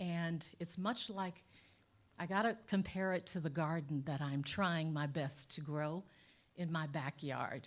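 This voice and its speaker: A woman speaks at a fairly slow pace with ordinary pitch variation in a plain, everyday voice. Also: fairly low pitch for a woman. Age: 60s. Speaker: lawyer and sociologist, guest speaker. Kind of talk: spoken talk to congregation.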